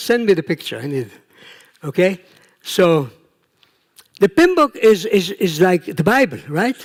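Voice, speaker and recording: Recorded dry and close with no echo, a man with an Israeli accent speaks at a fairly slow pace and high pitch. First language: Hebrew. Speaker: professor, project management researcher. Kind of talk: conference talk. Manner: conversational, with fillers.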